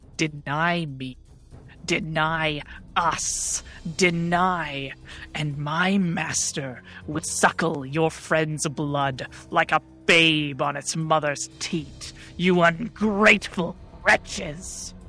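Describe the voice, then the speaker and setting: A put-on character voice at a middle pitch speaks very slowly over clear background noise. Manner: smug dealmaker turning spiteful.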